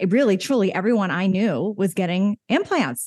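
In a very clean recording with a silent background, a woman uses a normal speaking voice at a medium pitch, a moderate pace and lively intonation. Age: 50s. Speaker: fitness coach. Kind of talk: casual chat.

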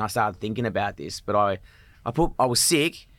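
A man with a strong Australian accent speaks at a fairly quick pace with lively intonation on a very clean recording with a silent background. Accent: broad Australian. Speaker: comedian. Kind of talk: casual chat. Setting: studio.

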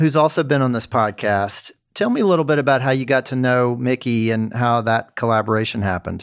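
Over a very clean recording with a silent background, a man in an unremarkable speaking voice talks at medium pitch and a fairly quick pace, with ordinary pitch variation and hardly any pauses. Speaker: podcast host and magazine editor. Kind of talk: casual interview.

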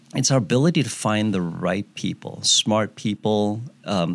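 On a very clean recording with a silent background, a man speaks at fairly low pitch with ordinary pitch variation. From Kansas City, US Midwest. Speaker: business co-founder. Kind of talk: interview. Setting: studio. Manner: hesitant with fillers and repetitions.

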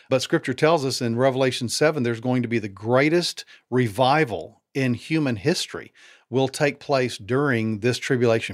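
A man's medium-pitched, a plain, everyday voice, ordinary pitch variation, moderate pace, very clean recording with a silent background. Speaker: author and former pastor. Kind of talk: interview conversation.

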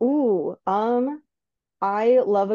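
Over a quiet background, the voice has a dark, mellow tone and ordinary pitch variation in a dry, close sound with no echo. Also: woman. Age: 20s. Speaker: author and podcast host with biology degree. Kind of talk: casual interview.

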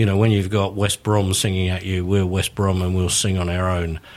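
A man with a very deep, low pitch speaks at a moderate pace. Noticeable background noise is present. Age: 60s. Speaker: author and football fan. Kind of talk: casual chat.

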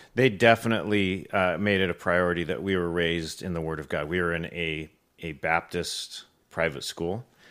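Speaking at a moderate pace with an American accent, a man has a very deep, low pitch and ordinary pitch variation. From Southern California. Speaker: church elder and accountant. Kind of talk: testimony.

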